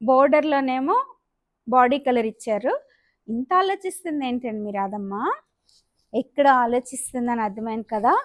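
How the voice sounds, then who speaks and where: The woman's high-pitched voice carries lively intonation, with a dry, close sound with no echo. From Amalapuram, East Godavari, Andhra Pradesh. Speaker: saree seller and vlogger. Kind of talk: sales pitch. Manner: chatty, digressive.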